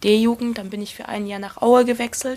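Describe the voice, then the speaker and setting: The intonation is monotone and flat, and the recording is very clean with a silent background. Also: woman. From Saxony, Erzgebirge (Germany). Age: 20s. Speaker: professional footballer. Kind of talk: interview.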